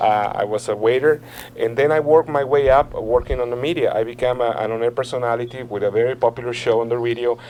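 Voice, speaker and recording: Very fast talking from a man at a medium pitch, fairly even in intonation, with noticeable background noise. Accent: Mexican. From Mexico City. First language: Spanish. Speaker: political candidate. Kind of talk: interview. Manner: earnest, persuasive.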